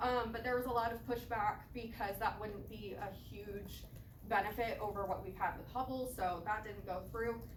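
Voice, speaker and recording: A woman speaks at a moderate pace and a fairly high pitch, her intonation fairly even. Noticeable background noise and audible room echo surround her voice. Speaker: student giving seminar talk. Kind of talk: seminar presentation.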